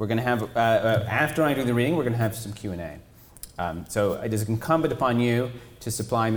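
A natural reading voice, pitch varied in an ordinary way

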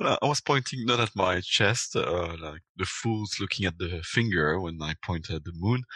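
In a French accent, the voice has a bright, sharp tone, ordinary pitch variation and hardly any pauses. The sound is dry and close with no echo, against a quiet background. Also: man, very deep, low pitch for a man, moderate pace. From Belgium. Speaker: podcaster. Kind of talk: casual chat. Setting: video call.

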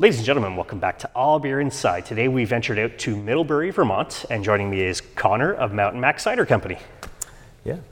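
With a Canadian accent, a man races along at a very fast pace, medium in pitch and lively in intonation, over noticeable background noise. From Canada. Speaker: podcast host. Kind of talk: casual chat.

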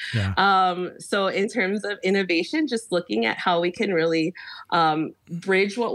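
In a normal speaking voice, a woman speaks at a fairly slow pace with lively intonation and very even loudness, on a very clean recording with a silent background. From Chicago. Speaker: teacher. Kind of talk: interview conversation.

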